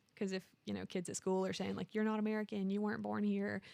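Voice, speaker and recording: Her voice sits at medium pitch, and this woman speaks with a slight Southern US accent. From Alabama, small town. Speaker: marketing coordinator. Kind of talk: interview conversation.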